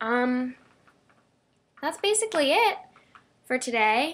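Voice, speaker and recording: A high-pitched woman at a fairly slow pace. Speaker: vlogger. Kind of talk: casual vlog monologue. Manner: rambling, hesitant with ums.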